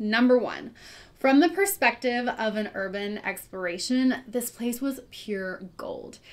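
A woman talks at a fairly slow pace. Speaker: video creator. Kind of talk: casual vlog intro. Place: home room.

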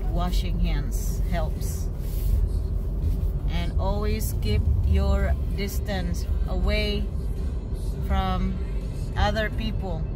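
Amid loud background noise, a woman speaks very slowly with long, frequent pauses and ordinary pitch variation. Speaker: family vlogger. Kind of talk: casual vlog chat. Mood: caring, advising safety. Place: car. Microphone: phone near.

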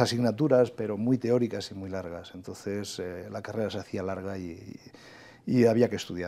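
A man's dark, mellow-toned voice. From Spain, inland Valencia (Requena, Castilian-speaking); Valencia, Spain. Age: 40s. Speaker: government official and agricultural engineering professor; agricultural engineering professor. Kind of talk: TV interview. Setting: TV studio. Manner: hesitant, many fillers. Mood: calm, reflective. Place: studio. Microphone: lapel.

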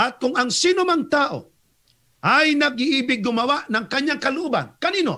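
A man projects a raised voice with an extremely high pitch and a bright, sharp tone. He keeps a moderate pace with ordinary pitch variation. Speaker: Seventh-day Adventist evangelist debater. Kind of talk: religious debate.

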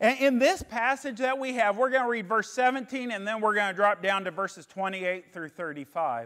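A loud man speaks with a high pitch and ordinary pitch variation against a quiet background. His pace is moderate, with hardly any pauses. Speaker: pastor. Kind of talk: sermon. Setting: re-recorded sermon video. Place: church. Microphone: lapel.

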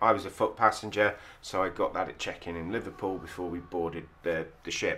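This male voice sits very deep and low. The delivery moves at a moderate pace. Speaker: travel vlogger. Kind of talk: casual vlog chat. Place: boat. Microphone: phone near.

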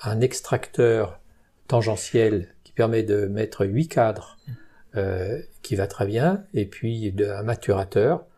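A man's medium-pitched, somewhat breathy voice with a dark, mellow tone, very slow pace and ordinary pitch variation, on a very clean recording with a silent background. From Burgundy, France (Saône-et-Loire). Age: 70s. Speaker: retired beekeeper. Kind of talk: interview. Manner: hesitant.

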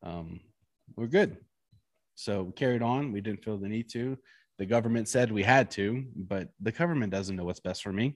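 A man with a fairly low pitch speaks at a moderate pace in a plain, everyday voice, with ordinary pitch variation. The sound is dry with no echo, and the background is quiet. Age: 30s. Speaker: podcast co-host. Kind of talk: casual chat. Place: studio. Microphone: handheld.

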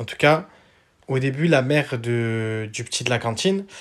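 A man talks very slowly, his pitch varying in an ordinary way, with little sound behind him. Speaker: video channel host. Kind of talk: casual video intro, commenting on a TV clip. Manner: chatty, informal. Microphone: phone near.

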